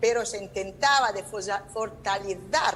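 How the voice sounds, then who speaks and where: A woman with a non-native accent, amid audible room echo. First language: Italian (speaking Spanish). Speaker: law professor. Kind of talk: conference talk. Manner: halting.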